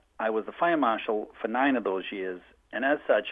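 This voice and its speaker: A man with a Boston accent talks at a fairly quick pace with ordinary pitch variation. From Boston, US. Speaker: firefighter. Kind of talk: public testimony. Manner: fast.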